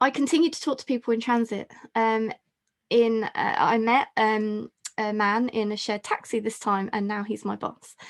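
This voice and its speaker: A woman's voice sits at a fairly high pitch. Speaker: health psychology professor. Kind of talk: webinar talk. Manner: fast.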